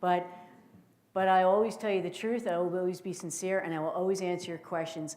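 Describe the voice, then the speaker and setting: A woman with a New Jersey accent speaks at a fairly quick pace, her medium pitch set in a dark, mellow tone. Audible room echo surrounds her voice. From northern New Jersey. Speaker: intelligence officer and keynote speaker. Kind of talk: keynote speech. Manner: animated.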